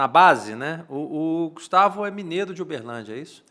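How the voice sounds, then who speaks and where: A man speaks at a moderate pace with lively intonation, in a plain, everyday voice. The recording is very clean, with a silent background. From Minas Gerais, Brazil. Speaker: podcast host. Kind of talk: casual interview. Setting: studio.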